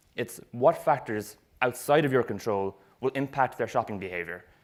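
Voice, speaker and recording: In a very clean recording with a silent background, a man speaks at a moderate pace and a medium pitch. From Ireland, Cork. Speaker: retail marketing expert. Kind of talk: presentation talk. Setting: stage with audience.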